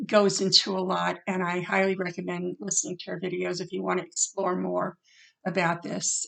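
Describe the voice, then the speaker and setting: A woman at a moderate pace. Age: 60s. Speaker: acupuncturist and author sharing personal experience. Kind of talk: personal vlog talk to camera. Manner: halting, many fillers.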